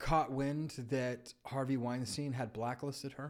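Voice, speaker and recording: A man's normal speaking voice, fairly high in pitch, with an American accent at a fairly slow pace. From California. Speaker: film critic. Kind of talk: casual chat. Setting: studio.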